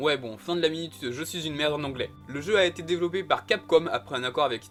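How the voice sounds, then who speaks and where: At a fairly quick pace, a man with an unremarkable speaking voice talks at a fairly high pitch with ordinary pitch variation. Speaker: video game YouTuber. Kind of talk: scripted video commentary.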